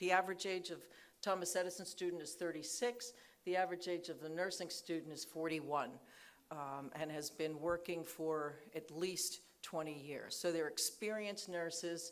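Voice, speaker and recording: With audible room echo, a woman talks at a moderate pace. Her pitch is fairly low and her intonation fairly even. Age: 50s. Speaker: nursing school dean. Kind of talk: conference talk. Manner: hesitant, many fillers.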